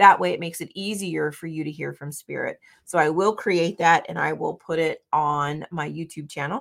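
A woman speaks in an animated tone with hardly any pauses. The recording is very clean, with a silent background. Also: big swings in loudness. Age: 50s. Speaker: spiritual podcaster. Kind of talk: guided meditation; casual solo talk. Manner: slow, calm, soothing; gentle, instructive.

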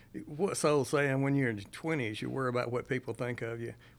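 In a Mississippi accent, the speaker moves at a fairly quick pace with ordinary pitch variation. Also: man. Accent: Mississippi Southern. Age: 60s. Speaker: retired judge. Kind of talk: casual chat. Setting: studio.

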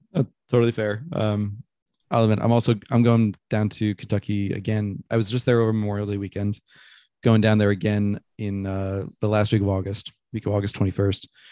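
Against a quiet background, a man with a dark, mellow tone and fairly low pitch talks at a fairly quick pace in a monotone, flat delivery. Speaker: podcast host. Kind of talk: casual interview. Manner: halting, many fillers.

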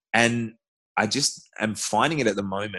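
A man with an Australian accent speaks in a bright, sharp tone against a quiet background. His pitch varies in an ordinary way. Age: 30s. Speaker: CrossFit athlete. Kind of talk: casual interview.

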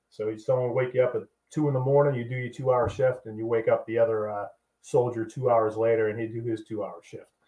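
With an American accent, the speaker goes at a very fast pace in a monotone, flat intonation, with big swings in loudness. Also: man, medium pitch for a man. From Boston, US Northeast. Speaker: army veteran. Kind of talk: casual chat.

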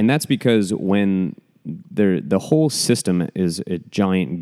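A dark, mellow tone comes through at a fairly slow pace. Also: man. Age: 20s. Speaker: podcast host, architect. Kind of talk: casual chat.

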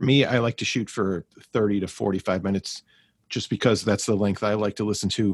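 In a very clean recording with a silent background and a dry, close sound with no echo, a man with an ordinary speaking voice talks at a fairly quick pace, using a fairly low pitch and fairly even intonation. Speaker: pathologist assistant and podcast host. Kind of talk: casual panel chat.

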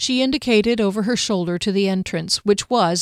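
The clip has a natural reading voice. Pitch moves up and down an ordinary amount.

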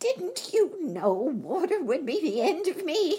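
A put-on character voice speaks at a fairly slow pace with an extremely high pitch. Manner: wailing, despairing.

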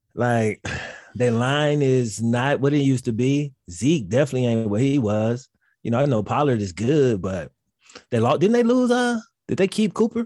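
Lively intonation from a man of medium pitch, dark and mellow in tone, at a moderate pace on a very clean recording with a silent background. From Mississippi. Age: 30s. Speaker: sports YouTuber. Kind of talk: casual chat.

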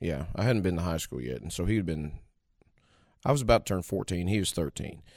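A man with an American accent, very deep and low in pitch, very fast, with lively intonation, on a very clean recording with a silent background. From Missouri, rural area near Saint Louis. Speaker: bluegrass mandolin player and singer. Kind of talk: interview.

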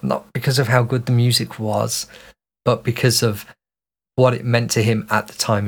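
A somewhat breathy voice speaks with a Birmingham accent. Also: man. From Birmingham, England. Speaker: podcast co-host. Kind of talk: casual chat.

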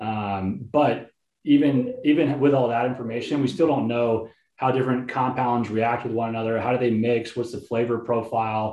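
A man with an American accent speaks in a plain, everyday voice at a medium pitch. His pace is moderate and his intonation fairly even. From Texas, Houston. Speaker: army veteran and company co-founder. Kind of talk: podcast interview.

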